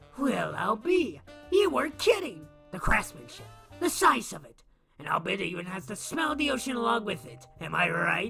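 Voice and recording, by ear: Faint music plays in the background as a put-on character voice at middle pitch moves at a moderate pace.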